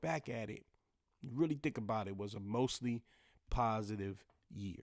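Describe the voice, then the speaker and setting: On a very clean recording with a silent background, a man speaks in an animated tone with lively intonation. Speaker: podcast host. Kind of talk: casual solo podcast talk. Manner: fast.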